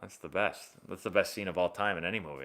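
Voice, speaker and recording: Here a man speaks with an American accent in a bright, sharp tone. The recording is very clean, with a silent background. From Boston area, Massachusetts. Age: 30s. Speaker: former pro baseball player and baseball youtuber. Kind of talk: live stream chat answering viewer questions. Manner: casual, conversational.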